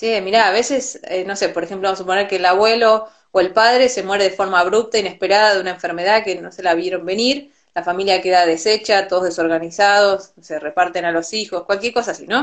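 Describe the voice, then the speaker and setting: A woman with an Argentine accent, medium pitch, fairly even intonation, a very fast pace and hardly any pauses. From Argentina. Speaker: Ayurveda teacher and physician. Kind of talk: interview. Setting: Instagram live video call.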